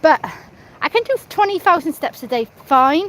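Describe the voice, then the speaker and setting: In a British accent, a woman with a high pitch speaks at a moderate pace with lively intonation, the sound dry and close with no echo. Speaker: live streamer. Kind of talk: casual chat. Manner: rambling, halting.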